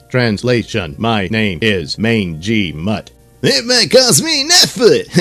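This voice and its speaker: A man's put-on character voice at medium pitch and a fairly slow pace, with faint music in the background. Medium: audio drama.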